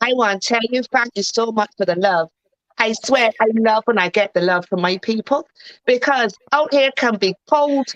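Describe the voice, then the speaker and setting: With a Barbadian accent, a woman speaks at a moderate pace and a fairly high pitch, the sound dry and close with no echo. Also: ordinary pitch variation, very even loudness. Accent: Bajan. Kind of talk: casual chat.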